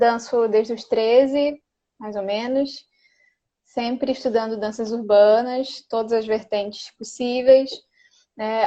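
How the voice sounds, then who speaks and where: This woman speaks at a very slow pace with a fairly high pitch. Her intonation stays fairly even. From Belém do Pará, northern Brazil. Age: 20s. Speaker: dancer and dance teacher. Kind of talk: casual interview.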